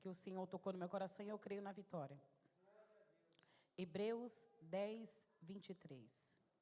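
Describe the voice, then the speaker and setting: A woman's dark, mellow voice at medium pitch, fairly slow, with ordinary pitch variation and long, frequent pauses. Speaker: lay preacher. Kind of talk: sermon. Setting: church.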